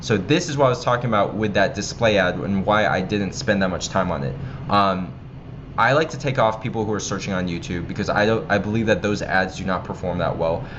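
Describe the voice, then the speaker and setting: A fairly low-pitched man with an American accent at a fairly quick pace, with audible room echo. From United States. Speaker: online marketing instructor. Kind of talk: tutorial. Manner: casual, with many filler ums.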